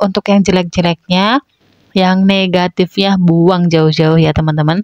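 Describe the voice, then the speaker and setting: Speaking at a fairly slow pace and a medium pitch, a woman is heard in a dry, close sound with no echo. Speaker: housewife vlogger. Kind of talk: voice-over narration. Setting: at home. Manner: casual chatty.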